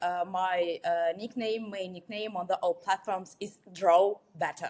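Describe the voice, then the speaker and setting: A woman speaks with a Russian accent. Her intonation stays fairly even. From Russia, Moscow. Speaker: watercolor artist. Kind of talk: interview. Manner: halting, many fillers.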